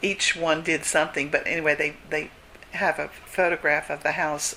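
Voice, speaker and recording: Noticeable background noise runs through the clip. A woman with a very deep, low pitch speaks at a fairly slow pace. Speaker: retired teacher and church historian. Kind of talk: interview answer.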